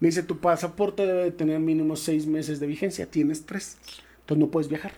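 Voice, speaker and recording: In a dark, mellow tone, a man speaks at a fairly quick pace with monotone, flat intonation. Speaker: former pro American football player. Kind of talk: interview storytelling. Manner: halting.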